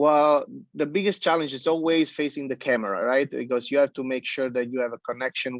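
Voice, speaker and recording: With an Italian accent, a man speaks at a medium pitch in a dry, close sound with no echo. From Italy. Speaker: pizza chef. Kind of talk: interview. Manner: halting, many fillers; animated.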